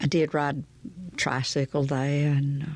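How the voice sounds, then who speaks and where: In a Southern US accent, a woman speaks with a very deep, low pitch and monotone, flat intonation. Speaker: storyteller. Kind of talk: audiobook memoir reading. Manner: gentle.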